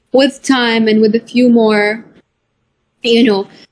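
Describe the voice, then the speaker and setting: With an Arabic accent, a woman talks in a high pitch. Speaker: author of a children's book. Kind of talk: interview. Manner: hesitant, many fillers.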